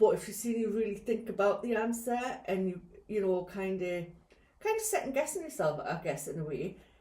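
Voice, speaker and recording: A woman with lively intonation at a fairly quick pace, with audible room echo. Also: medium pitch for a woman. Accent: Geordie. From northern England, Newcastle/Gateshead. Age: 60s. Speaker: podcast co-host, care worker. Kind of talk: casual chat.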